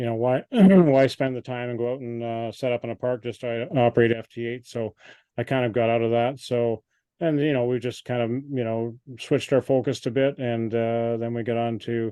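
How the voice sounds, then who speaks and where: In a Canadian accent, a man talks at a moderate pace and medium pitch with fairly even intonation. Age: 60s. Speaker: amateur radio operator. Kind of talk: club presentation Q&A. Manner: halting, many fillers.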